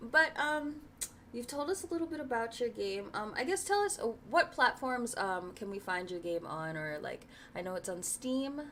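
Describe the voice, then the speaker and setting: A high-pitched woman's voice with very wide pitch swings and noticeable background noise. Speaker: interview show host. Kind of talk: casual interview. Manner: fast.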